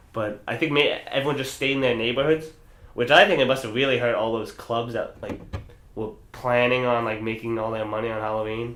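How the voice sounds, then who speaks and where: Through audible room echo and noticeable background noise, a man speaks at a medium pitch and a fairly quick pace with fairly even intonation. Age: 20s. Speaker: podcast co-host. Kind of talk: casual chat. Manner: halting.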